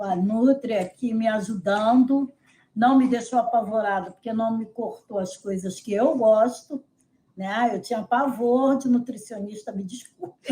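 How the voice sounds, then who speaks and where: Her fairly high pitch, dark, mellow tone and somewhat breathy sound come through as a woman speaks fairly slowly, with ordinary pitch variation and big swings in loudness. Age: 70s. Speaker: nutrition client. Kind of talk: testimonial interview.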